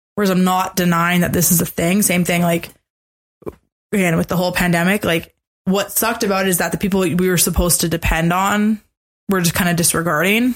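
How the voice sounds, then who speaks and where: Somewhat breathy, a woman speaks at a fairly quick pace with fairly even intonation. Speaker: podcast co-host. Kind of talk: casual chat.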